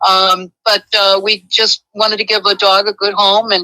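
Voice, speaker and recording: A woman with a fairly high pitch and a bright, sharp tone speaks at a fairly slow pace, the sound dry and close with no echo. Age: 70s. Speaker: caller. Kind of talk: phone-in conversation. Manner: halting.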